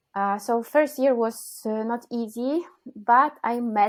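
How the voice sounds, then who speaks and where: This woman has a Polish accent. She talks fairly slowly. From Poland. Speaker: cellist and composer. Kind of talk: interview. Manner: halting.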